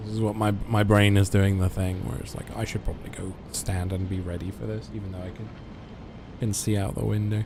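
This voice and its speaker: This man has an English accent and a fairly low pitch. He talks at a fairly quick pace with fairly even intonation. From England. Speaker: video game streamer. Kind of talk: live gameplay stream chat. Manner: halting.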